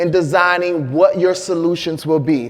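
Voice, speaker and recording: With an American accent, a man speaks at a fairly slow pace amid noticeable background noise and audible room echo. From Flint, Michigan, US Midwest. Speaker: health disparities researcher and doctor. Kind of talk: conference presentation.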